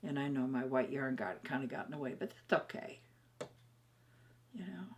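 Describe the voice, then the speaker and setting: A woman's very deep, low pitch with very wide pitch swings at a moderate pace, over noticeable background noise. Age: old. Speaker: knitter. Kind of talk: craft tutorial to camera. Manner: upbeat, chatty.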